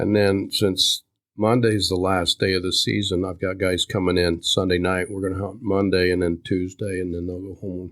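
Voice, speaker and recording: On a very clean recording with a silent background, a man with an American accent speaks at a moderate pace in a very deep, low monotone, with hardly any pauses. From Kansas. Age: 60s. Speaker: veterans ministry leader. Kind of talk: casual interview. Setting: farmhouse.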